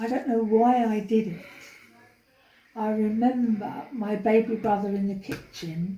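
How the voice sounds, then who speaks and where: In a London accent, a woman speaks at a moderate pace with a fairly high pitch and fairly even intonation. Her tone is dark, mellow and somewhat breathy, with long, frequent pauses. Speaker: interviewee, older sister. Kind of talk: family oral history interview.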